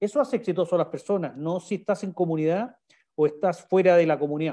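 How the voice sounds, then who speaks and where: In a Chilean accent, a man talks at a very fast pace and a high pitch, his tone dark and mellow. The background is quiet. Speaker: sales director giving a webinar talk. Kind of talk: online presentation / webinar with Q&A. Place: home room. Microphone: video call.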